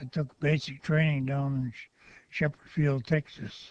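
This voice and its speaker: Fairly high-pitched, somewhat breathy male voice, monotone and flat, at a fairly slow pace. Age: 80s+. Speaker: war veteran. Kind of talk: oral history interview. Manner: halting.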